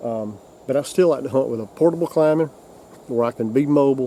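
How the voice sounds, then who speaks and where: A man with a South Carolina accent. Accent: Southern US (South Carolina). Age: 60s. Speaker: hunting video host. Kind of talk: casual instructional talk. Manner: halting, many repetitions.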